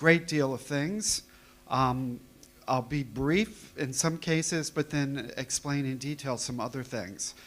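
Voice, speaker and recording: A man speaks at a fairly slow pace with ordinary pitch variation. His pitch sits fairly high. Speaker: company representative giving a talk. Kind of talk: conference presentation. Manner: hesitant, many fillers. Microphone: too far from the microphone at first.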